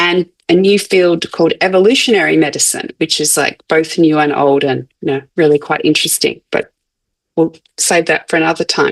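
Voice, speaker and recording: A woman with an Australian accent talks at a moderate pace with ordinary pitch variation. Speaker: anthropologist of science. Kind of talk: academic lecture. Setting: conference talk. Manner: hesitant with fillers and restarts.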